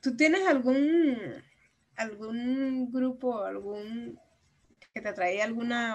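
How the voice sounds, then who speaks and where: Her pitch is fairly high and varies in an ordinary way. The woman sounds somewhat breathy. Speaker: podcast co-host. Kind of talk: casual chat.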